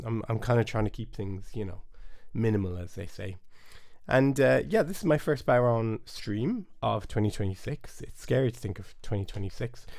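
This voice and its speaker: A man with a Cork accent, moderate pace and ordinary pitch variation. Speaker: bodhrán teacher. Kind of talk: live stream lesson chat. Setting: home studio, live stream. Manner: casual, hesitant.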